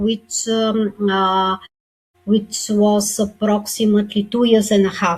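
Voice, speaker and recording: A woman's somewhat breathy voice, fairly high in pitch and at a fairly slow pace. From Bulgaria. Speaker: author and speaker. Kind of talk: interview testimony. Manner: halting, many fillers.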